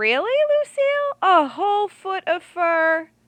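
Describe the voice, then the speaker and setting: A woman does a put-on character voice, squeaky and extremely high, with very wide pitch swings at a fairly slow pace. The sound is dry and close, with no echo. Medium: read story. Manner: gentle, encouraging.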